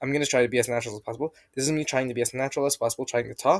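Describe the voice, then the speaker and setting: A man's strained, put-on character voice at medium pitch, very fast, with fairly even intonation, dry and close with no echo. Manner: strained, trying to sound natural.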